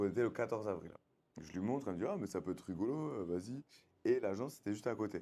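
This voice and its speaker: A man's fairly low, dark and mellow voice at a very fast pace, with ordinary pitch variation and big swings in loudness. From France, Bordeaux. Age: 30s. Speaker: reality TV contestant. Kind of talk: casual interview. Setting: on location in Bali. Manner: casual, slangy.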